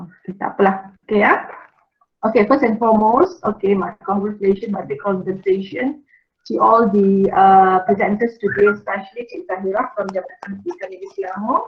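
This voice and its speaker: At a very fast pace, a woman with a medium-pitched, somewhat breathy voice speaks with ordinary pitch variation and big swings in loudness. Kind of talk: welcoming speech.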